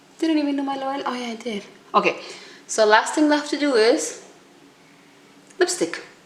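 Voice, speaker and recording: A woman speaks at a moderate pace in a high pitch, with very wide pitch swings and big swings in loudness. Her long pauses come often, and background noise is noticeable. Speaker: beauty vlogger. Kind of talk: makeup tutorial.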